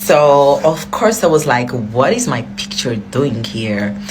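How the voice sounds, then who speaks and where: The voice moves at a moderate pace with very wide pitch swings. Noticeable background noise and audible room echo are present. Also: woman. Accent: non-native. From outside Ghana. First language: not English. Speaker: social media influencer. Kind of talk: storytelling. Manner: casual, filler-heavy.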